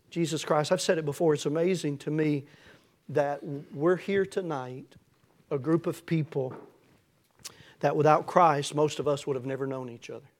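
A man with a Tennessee accent speaks at a fairly high pitch, his intonation fairly even. Long, frequent pauses break up his speech in a very clean recording with a silent background. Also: moderate pace. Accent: Southern US (Tennessee). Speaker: pastor. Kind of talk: sermon. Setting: church.

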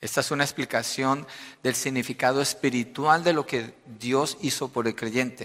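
With an unremarkable speaking voice, a man talks at a moderate pace and medium pitch. His intonation is fairly even, and the recording is very clean with a silent background. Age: 50s. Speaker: pastor. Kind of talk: sermon.

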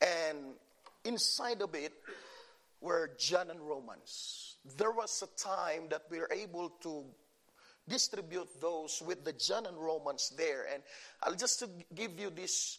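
A man with a high pitch speaks at a very slow pace, with ordinary pitch variation and long, frequent pauses. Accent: Filipino. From Philippines. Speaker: pastor. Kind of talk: sermon. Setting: church.

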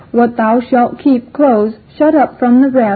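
Against noticeable background noise, a woman with a high-pitched voice talks at a fairly slow pace. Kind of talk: audiobook reading of rhymed verse (apology for the book). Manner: measured, rhythmic, sing-song cadence stressing the rhymes; formal, archaic, earnest and gently wry.

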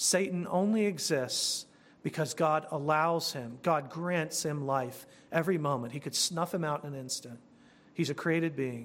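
This man has an ordinary speaking voice, fairly high in pitch with ordinary pitch variation. He keeps a moderate pace in a very clean recording with a silent background. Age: 40s. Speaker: pastor. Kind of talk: sermon.

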